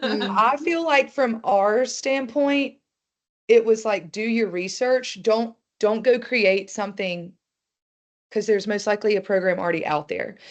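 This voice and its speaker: In an American accent, a woman with an unremarkable speaking voice talks at a fairly slow pace, her fairly high pitch showing ordinary pitch variation. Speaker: nonprofit development director. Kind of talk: webinar panel conversation.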